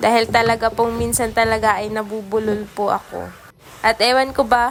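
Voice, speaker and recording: Over noticeable background noise, a woman talks at a moderate pace in a fairly high pitch with monotone, flat intonation. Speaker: vlogger. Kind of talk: vlog voice-over narration. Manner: stumbles over words at times; polite, many po.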